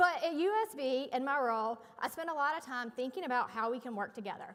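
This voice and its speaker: With a North Carolina accent, a woman talks at a very fast pace in a high pitch with lively intonation over noticeable background noise. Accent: Southern (North Carolina). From North Carolina, US South. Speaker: event emcee. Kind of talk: ceremony emcee speech. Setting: stage with audience. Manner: formal.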